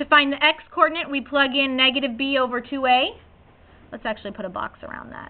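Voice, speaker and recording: A woman talks very fast in a high voice. Her loudness swings widely from moment to moment. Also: ordinary pitch variation. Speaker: high school math teacher. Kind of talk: classroom lecture.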